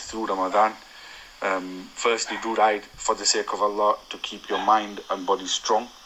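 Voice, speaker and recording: Flat, monotone speech from a man with a fairly low pitch, at a moderate pace over noticeable background noise. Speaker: cyclist sending a voice note to a podcast. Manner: reading from prepared notes.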